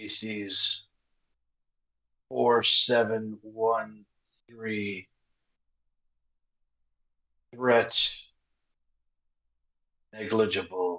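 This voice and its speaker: Someone uses a put-on character voice with a low pitch. The delivery is very slow, with long, frequent pauses. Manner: cold, detached.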